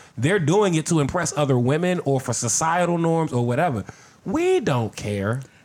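A man talks in a plain, everyday voice at a fairly high pitch, with lively intonation and a moderate pace. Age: 50s. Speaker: podcast guest. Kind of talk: casual chat.

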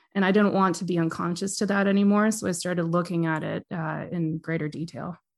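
An ordinary speaking voice in a Canadian accent moves at a fairly quick pace with hardly any pauses and fairly even intonation, set against a quiet background. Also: woman, fairly low pitch for a woman. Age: 30s. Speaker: massage therapist and death doula. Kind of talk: interview conversation.

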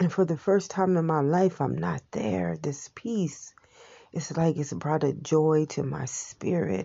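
Very deep, low-pitched woman's voice with vocal fry, lively intonation and a fairly slow pace. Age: 40s. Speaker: wellness vlogger. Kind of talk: personal reflection monologue. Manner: halting.

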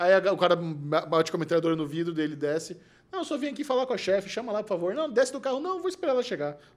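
Over noticeable background noise, a man talks at a very fast pace in a high pitch, his voice swinging very widely up and down. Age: 40s. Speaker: podcast host. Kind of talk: casual chat.

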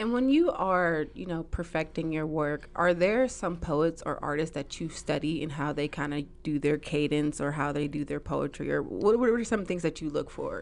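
A woman talks at a moderate pace with a very deep, low pitch and vocal fry. Her pitch varies in an ordinary way, she hardly pauses, and the background is quiet. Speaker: podcast host. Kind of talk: casual interview.

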